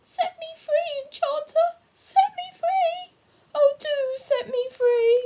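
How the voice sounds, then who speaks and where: A woman performs a squeaky, put-on character voice at an extremely high pitch. She speaks at a very slow pace with very wide pitch swings. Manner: pleading, desperate.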